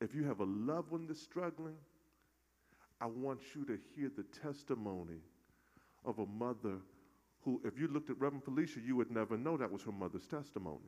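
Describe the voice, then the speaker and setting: A man speaks at a fairly quick pace with a warm tone and lively intonation, broken by long, frequent pauses. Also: medium pitch for a man. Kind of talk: call-and-response sermon. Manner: animated, rhythmic, crowd-prompting; warm, jovial, joking with the congregation.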